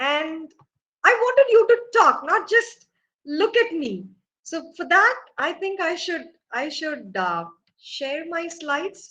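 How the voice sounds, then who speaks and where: A woman's raised, projected voice with an Indian accent, extremely high-pitched and bright and sharp in tone, very slow with long, frequent pauses, very wide pitch swings and big swings in loudness. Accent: Indian English (Tamil). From India, Tamil Nadu. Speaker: professor. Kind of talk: lecture.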